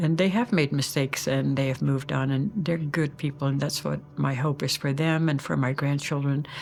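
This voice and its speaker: At a moderate pace with hardly any pauses, a speaker with a Dutch accent keeps very even loudness and ordinary pitch variation over noticeable background noise. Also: woman, very deep, low pitch for a woman. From Netherlands (Groningen, northern Holland). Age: 80s+. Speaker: Dutch immigrant grandmother. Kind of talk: interview testimony.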